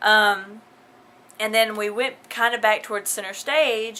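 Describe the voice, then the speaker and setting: With a Southern US accent, a woman of medium pitch talks fairly slowly in a bright, sharp tone. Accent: southern drawl. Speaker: vlogger. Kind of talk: casual vlog.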